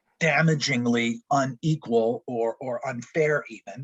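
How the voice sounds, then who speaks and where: A man's somewhat breathy voice. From Quebec, Montreal. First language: French. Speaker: college professor. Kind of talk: lecture.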